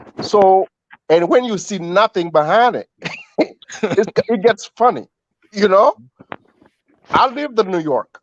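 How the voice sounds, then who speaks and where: In an African accent, the speaker goes at a fairly slow pace with lively intonation and long, frequent pauses, the sound dry and close with no echo. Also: man, high pitch for a man. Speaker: caller. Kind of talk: casual chat.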